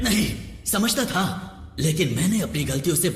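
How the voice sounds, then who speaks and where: Over loud music in the background, a man performs a put-on character voice. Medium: fan dub. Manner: sly, theatrical, quick to flatter or gloat.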